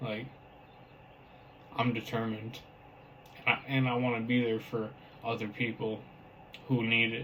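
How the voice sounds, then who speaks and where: A man's medium-pitched, monotone, flat delivery at a moderate pace, with long, frequent pauses and noticeable background noise. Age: 20s. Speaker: vlogger with brain injury. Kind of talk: personal testimony to camera. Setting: talking to a camera. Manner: halting.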